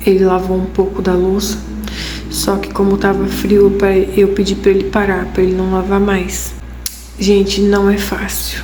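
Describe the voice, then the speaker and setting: Soft-spoken and fairly slow, the voice comes through audible room echo and noticeable background noise. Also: woman. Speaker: vlogger. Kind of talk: casual vlog talk to camera. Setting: at home late at night. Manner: soft-spoken, talking quietly.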